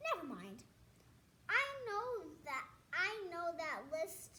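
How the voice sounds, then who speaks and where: A woman uses a put-on character voice at an extremely high pitch. She speaks at a very slow pace in a raised, projected voice. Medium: read story.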